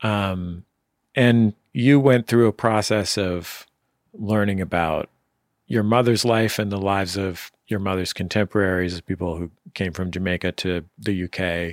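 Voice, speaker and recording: A man with an unremarkable speaking voice, fairly low pitch, fairly even intonation, and fairly slow pace in dry, close sound with no echo. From San Francisco, US. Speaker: radio host. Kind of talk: interview; scripted narration. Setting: remote interview.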